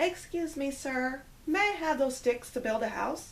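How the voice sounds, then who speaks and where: A woman puts on a character voice, pitched high. She talks at a moderate pace over clear background noise. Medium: read story.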